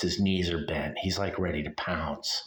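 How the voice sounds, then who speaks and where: This man's voice is very deep and low. He keeps a moderate tempo. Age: 60s. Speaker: ghost-hunting YouTuber. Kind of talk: casual vlog monologue. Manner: rambling, halting with fillers.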